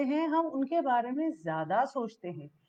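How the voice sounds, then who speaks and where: A woman's voice with very wide pitch swings. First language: English stronger than Hindi (speaking Hindi). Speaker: founder telling life story. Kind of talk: motivational talk.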